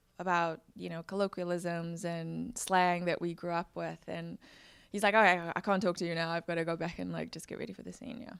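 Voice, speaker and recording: A woman with a South African accent speaks at a fairly quick pace in a fairly low voice, with fairly even intonation. Her loudness swings a lot, and the recording is very clean with a silent background. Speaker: actor. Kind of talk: interview.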